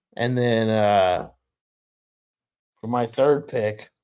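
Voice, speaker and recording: A man at medium pitch with an American accent. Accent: New York-ish accent comes out when drunk. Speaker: podcast co-host. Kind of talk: casual chat.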